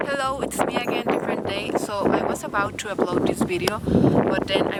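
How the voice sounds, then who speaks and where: A woman with an American accent at a fairly quick pace and ordinary pitch variation, with noticeable background noise and audible room echo. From Texas and Mexico. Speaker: booktuber. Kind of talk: casual vlog talk to camera.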